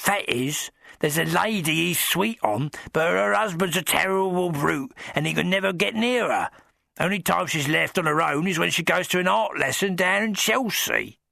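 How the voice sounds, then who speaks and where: A man puts on a croaky character voice at a high pitch. His pace is moderate. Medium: audio drama. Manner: rambling, deferential, dropped grammar.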